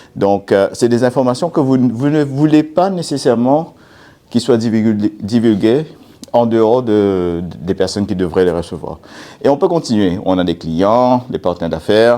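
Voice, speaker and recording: A man speaks at a moderate pace with a dark, mellow tone and lively intonation. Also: medium pitch for a man. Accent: non-native. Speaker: cybersecurity speaker. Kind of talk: conference talk. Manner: hesitant, many fillers.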